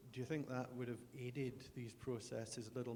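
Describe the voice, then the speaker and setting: Moderate pace from a man with a Scottish accent, medium pitch, a dark, mellow tone, a somewhat breathy quality and monotone, flat intonation. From Scotland. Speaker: audience member. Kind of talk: audience question.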